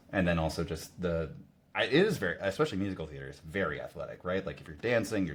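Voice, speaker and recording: A man with an American accent talks at a very fast pace in a very deep, low voice, with lively intonation and big swings in loudness. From northern Missouri, US Midwest. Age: 30s. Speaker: runner, podcast guest, former theater actor. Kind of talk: casual chat.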